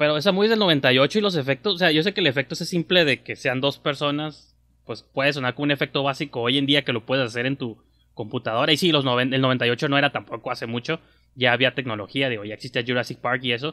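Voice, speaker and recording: A man's fairly high voice in a Mexican accent at a very fast pace, on a very clean recording with a silent background. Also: ordinary pitch variation. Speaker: film podcast host. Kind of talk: casual chat. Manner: animated.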